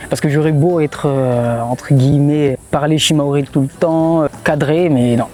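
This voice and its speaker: Noticeable background noise sits behind a man speaking. His pitch is fairly high and his intonation fairly even. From Mayotte. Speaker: blogger. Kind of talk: interview answer. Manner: casual, hesitant.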